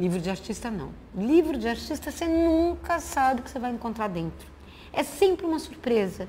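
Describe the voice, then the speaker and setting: In a room with audible echo, a woman's high voice swings very widely in pitch while keeping a dark, mellow tone. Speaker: visual artist. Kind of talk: lecture. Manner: fast.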